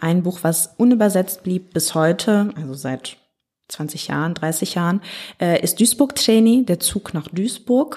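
Her voice is dark and mellow, somewhat breathy, and medium in pitch. The woman speaks at a fairly slow pace with lively intonation. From Ruhr area, Germany (Hagen). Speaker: artist, curator and consultant. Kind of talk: casual interview.

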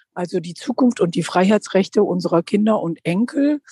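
The voice is dark, mellow and somewhat breathy, with a dry, close sound and no echo. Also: woman. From Lower Rhine region, Germany. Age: 50s. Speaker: politician. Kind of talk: interview. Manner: frequent hesitations.

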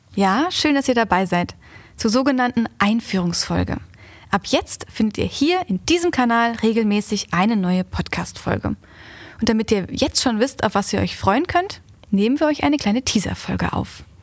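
A somewhat breathy woman speaks at a moderate pace and fairly high pitch, her intonation lively and her loudness very even. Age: 20s. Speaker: podcast host, marketing employee. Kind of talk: casual scripted podcast intro.

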